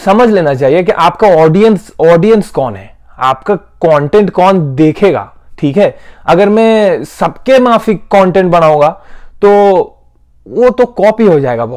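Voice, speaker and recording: This man's pitch is high and his intonation lively. He speaks at a very slow pace. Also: quiet background. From India, Bengal. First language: Bengali (speaking Hindi). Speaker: YouTuber, hospitality professional; YouTuber. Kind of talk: casual vlog monologue. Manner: halting. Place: home room. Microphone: lapel.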